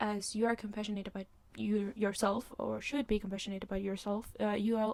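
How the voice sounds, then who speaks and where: Her intonation fairly even, a woman talks fairly quickly at medium pitch. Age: 20s. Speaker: podcast host. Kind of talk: casual monologue podcast. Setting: filmed on a laptop, in bed. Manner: hesitant, many fillers and restarts. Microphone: laptop mic.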